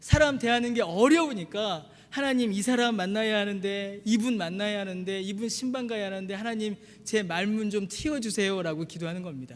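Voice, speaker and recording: A man speaks at a high pitch and a fairly quick pace. His pitch varies in an ordinary way. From Busan, South Korea. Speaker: pastor. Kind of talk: sermon.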